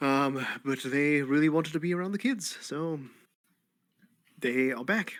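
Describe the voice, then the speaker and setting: A man with an American accent and a fairly high pitch is captured in a very clean recording with a silent background. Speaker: tabletop role-playing game player. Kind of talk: casual chat.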